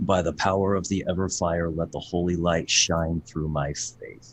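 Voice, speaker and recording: Against a quiet background, a man does a put-on character voice that is loud and booming, very deep and low in pitch, delivered at a moderate pace in a monotone, flat intonation. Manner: very loud, booming.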